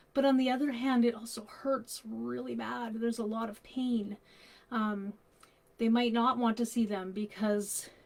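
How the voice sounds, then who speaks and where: A woman speaks at a moderate pace and a fairly high pitch. Her voice is somewhat breathy, with monotone, flat intonation. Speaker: grief counsellor. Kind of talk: live stream talk on children's grief. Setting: Facebook live stream.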